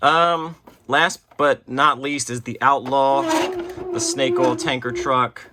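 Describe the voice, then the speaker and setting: Noticeable background noise fills the recording. Through it, a man speaks very slowly. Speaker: toy collector and unboxing video host. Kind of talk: casual unboxing show-and-tell. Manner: casual, filler-heavy (um, uh).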